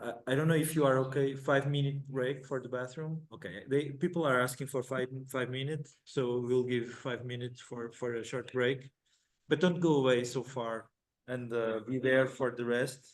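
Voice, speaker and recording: In an Italian accent, a man speaks at medium pitch and a moderate pace with fairly even intonation. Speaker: conference session moderator. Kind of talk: conference moderation. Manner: halting, repeats words.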